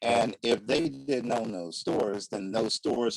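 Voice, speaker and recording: Here a man talks at a moderate pace with ordinary pitch variation. The recording is dry and close, with no echo. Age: 60s. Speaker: community leader. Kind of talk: panel discussion.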